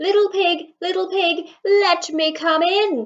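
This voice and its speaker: This is a put-on character voice with extremely high pitch. The pace is fairly slow. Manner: growling.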